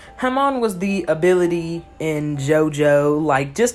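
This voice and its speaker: Over music in the background, a woman speaks at a fairly low pitch with lively intonation. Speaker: anime commentary YouTuber. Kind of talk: casual video commentary. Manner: stuttering, repeats words; animated, informal.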